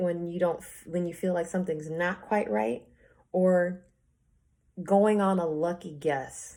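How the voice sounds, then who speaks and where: A woman talks with a dark, mellow tone. Her pitch is fairly low, with ordinary pitch variation. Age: 20s. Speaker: tarot reader. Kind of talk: tarot reading monologue. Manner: slow.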